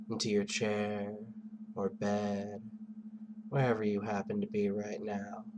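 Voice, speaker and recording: In audible room echo, a man speaks very slowly with a soothing tone. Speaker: hypnotist. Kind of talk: hypnosis induction.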